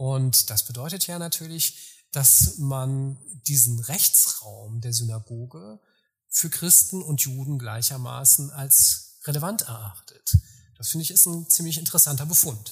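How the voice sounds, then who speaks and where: Somewhat breathy and at a fairly slow pace, a man talks with lively intonation at a medium pitch. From far west of Germany. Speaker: historian. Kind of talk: interview. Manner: formal.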